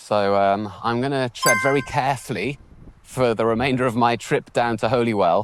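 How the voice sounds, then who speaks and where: A man speaks with a British accent in a relaxed tone. His pace is moderate and his intonation fairly even. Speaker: English teacher. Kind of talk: casual walk-and-talk vlog narration. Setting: outdoors. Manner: natural, relaxed, unscripted.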